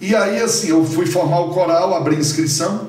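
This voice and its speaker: A man speaks in a high voice at an even, middling speed, his pitch rising and falling normally, while clear background noise and audible echo from the room surround him. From Ceará, Brazil (Viçosa do Ceará). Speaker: conductor and music professor. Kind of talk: casual interview.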